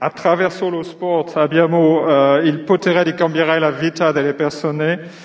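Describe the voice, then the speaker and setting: A man with a non-native accent. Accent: non-native Italian. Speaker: company executive. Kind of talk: prepared speech from notes. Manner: halting, many fillers.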